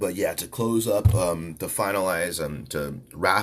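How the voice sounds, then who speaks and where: A man speaks with vocal fry. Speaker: podcast host. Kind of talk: casual podcast monologue. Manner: rambling, halting with fillers.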